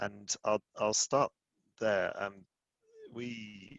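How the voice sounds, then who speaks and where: This man has a fairly low pitch. His intonation stays fairly even. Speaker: tech company engineering executive. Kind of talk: conference talk. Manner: mumbling, long sentences; hesitant, many fillers.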